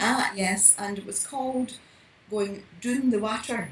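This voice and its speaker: A woman with a Scottish accent, over noticeable background noise. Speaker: mystery novelist. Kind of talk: podcast interview answer.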